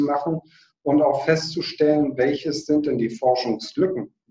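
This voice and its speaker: This man has an ordinary speaking voice, fairly high in pitch, and talks at a moderate pace. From northern Germany, Hamburg. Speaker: biochemist, foundation director. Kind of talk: interview.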